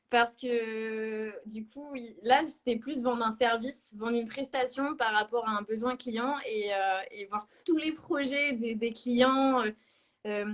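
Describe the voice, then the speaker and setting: Very slowly, a woman speaks in a fairly high pitch with fairly even intonation. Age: 20s. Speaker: sales representative. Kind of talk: interview. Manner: hesitant, many fillers.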